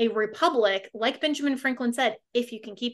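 A woman has an ordinary speaking voice with a fairly high pitch. Her pitch variation is ordinary. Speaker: radio host. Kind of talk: radio talk show.

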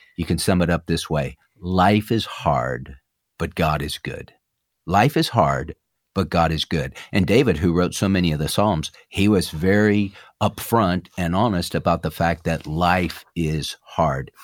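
Vocal fry runs through this dry, close voice with no echo and ordinary pitch variation, captured in a very clean recording with a silent background. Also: man, very deep, low pitch for a man. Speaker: pastor and radio host. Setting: studio.

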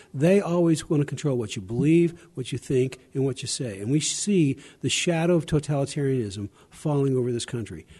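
With an American accent, a man talks at a fairly quick pace in a fairly high pitch, his dark, mellow tone somewhat breathy and his pitch varying in an ordinary way. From US South, Arkansas. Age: 70s. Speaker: lawyer and religious liberty advocate. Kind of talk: interview. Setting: convention broadcast.

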